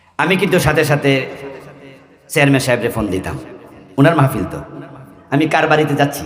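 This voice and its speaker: Fairly high-pitched male speech with ordinary pitch variation, noticeable background noise and audible room echo. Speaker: Islamic preacher. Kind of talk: sermon. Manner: animated.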